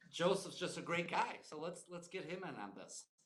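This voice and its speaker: Speaking at a moderate pace with an American accent, a man with a high pitch is heard amid audible room echo. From Chicago western suburbs. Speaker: real estate agent, show co-host. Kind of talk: casual chat.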